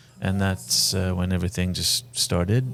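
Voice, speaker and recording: Fairly quick speech from a man with a very deep, low pitch, set against noticeable background noise. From Lebanon (Saida). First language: Arabic. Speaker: film director and actor. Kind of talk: interview conversation. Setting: venue during a film screening.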